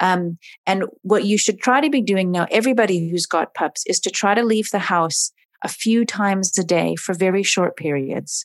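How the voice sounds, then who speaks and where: A woman with an American accent in an ordinary speaking voice at a moderate pace, the sound dry and close with no echo. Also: medium pitch for a woman, ordinary pitch variation. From US West Coast, Oregon. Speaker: dog trainer and animal behaviorist. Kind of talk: casual interview.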